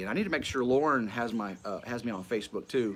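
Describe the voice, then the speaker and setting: A man with a Tennessee accent at a fairly quick pace. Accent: US Southern (Tennessee). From West Tennessee, near Memphis. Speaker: Bible study teacher and livestream host. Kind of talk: casual livestream chat. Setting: live stream at home. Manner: halting, many fillers and repeats.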